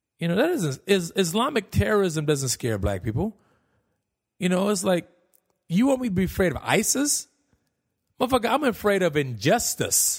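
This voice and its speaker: A man with a high pitch and very wide pitch swings talks at a moderate pace with long, frequent pauses. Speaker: podcast host and comedian. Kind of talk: casual solo podcast monologue, comedic. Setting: home recording, alone. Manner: candid, self-deprecating, profane.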